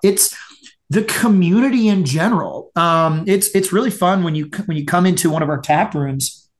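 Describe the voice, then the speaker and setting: Speaking at a fairly slow pace, a man with a high pitch and an American accent uses lively intonation. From Florida (Tampa). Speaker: brewery owner. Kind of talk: casual interview. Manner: halting, many fillers and repeats.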